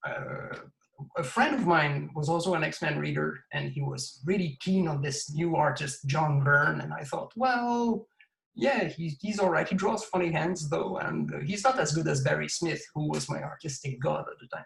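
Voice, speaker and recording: A man speaks with a Quebec accent. His pace is moderate. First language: French. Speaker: comics creator and collector. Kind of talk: interview.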